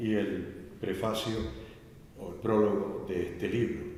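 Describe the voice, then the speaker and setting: A man with a medium-pitched voice speaks at a fairly slow pace. Audible room echo and noticeable background noise surround him. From Canary Islands. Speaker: Jesuit priest presenting a book. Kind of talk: book presentation talk. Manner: halting.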